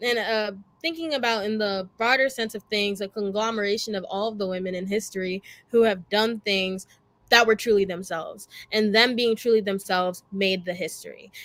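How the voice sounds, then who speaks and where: A woman with a plain, everyday voice talks at a fairly quick pace. Her medium pitch shows ordinary variation, and the recording is very clean with a silent background. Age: young. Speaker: student moderator. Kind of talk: panel discussion.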